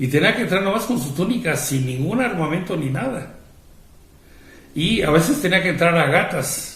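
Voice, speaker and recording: A man's high-pitched, lively voice in a Mexican accent at a moderate pace, with audible room echo and noticeable background noise. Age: 60s. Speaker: priest. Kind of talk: religious talk. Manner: conversational, with fillers.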